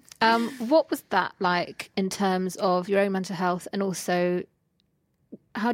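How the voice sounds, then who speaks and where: With fairly even intonation and a medium pitch, a woman talks in an ordinary speaking voice. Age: 30s. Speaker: podcast host. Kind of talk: casual chat.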